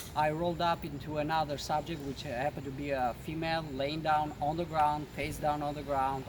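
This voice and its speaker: A man speaks in an Albanian accent at a fairly high pitch. His pace is moderate. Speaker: police officer. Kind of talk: interview.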